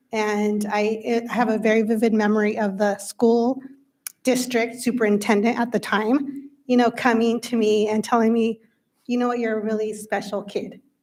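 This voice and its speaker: In a Spanish accent, a woman talks with a fairly high pitch. Her intonation stays monotone and flat. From Windsor area, California (US). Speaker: school board member. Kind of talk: speech at a public meeting. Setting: school board meeting.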